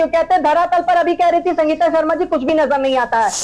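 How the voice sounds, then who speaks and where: A woman talks in an extremely high pitch. Noticeable background noise runs behind her. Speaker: political party spokesperson. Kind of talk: heated debate. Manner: loud.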